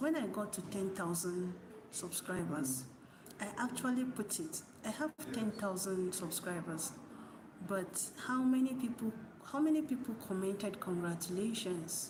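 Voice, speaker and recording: Soft-spoken and medium-pitched, a woman talks with lively intonation amid audible room echo and noticeable background noise. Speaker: YouTuber. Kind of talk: motivational talk. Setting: at work, green screen.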